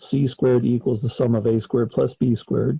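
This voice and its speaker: A man speaks at a moderate pace and medium pitch in an ordinary speaking voice. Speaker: college math professor. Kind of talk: lecture.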